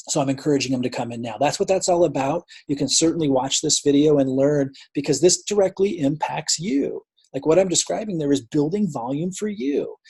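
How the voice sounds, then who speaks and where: A man with a fairly high pitch and a dark, mellow tone speaks somewhat breathily at a fairly quick pace, with ordinary pitch variation. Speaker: network marketing team leader. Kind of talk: team update video. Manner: fast; casual, filler-heavy.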